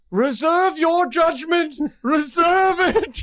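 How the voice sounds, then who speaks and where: A put-on character voice at an extremely high pitch, delivered at a very slow pace. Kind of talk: theatrical, exaggerated. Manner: menacing, dramatic.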